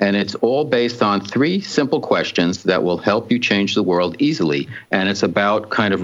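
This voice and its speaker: A man's fairly low voice at a moderate pace, an unremarkable speaking voice, with hardly any pauses and very even loudness. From New Jersey, North Jersey. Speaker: radio talk show host. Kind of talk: interview chat.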